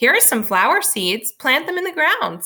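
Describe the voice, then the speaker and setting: A woman's put-on character voice, high in pitch, at a moderate pace with very wide pitch swings. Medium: read story. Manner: calm, patient.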